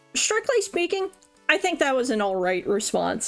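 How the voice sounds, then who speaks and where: A woman's high voice with very wide pitch swings over music in the background. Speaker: vtuber streamer. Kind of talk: casual livestream commentary.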